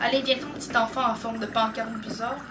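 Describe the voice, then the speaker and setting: Speech with a Quebec accent at a moderate pace, over noticeable background noise. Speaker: gaming youtuber. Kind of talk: gameplay commentary. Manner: animated.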